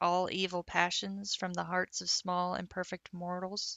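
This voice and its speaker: The woman's voice is medium in pitch, flat and monotone. Her pace is moderate. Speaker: audiobook reader. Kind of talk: audiobook chapter reading. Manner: reads with varied character voices.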